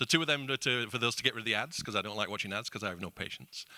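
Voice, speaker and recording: A man's very fast speech with a bright, sharp tone and a British accent, on a very clean recording with a silent background. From UK. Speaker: company CEO. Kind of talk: panel discussion.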